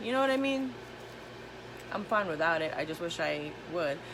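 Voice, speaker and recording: An animated woman talks with audible room echo and noticeable background noise. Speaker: tarot reader. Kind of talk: channeled tarot reading, live stream. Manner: fast.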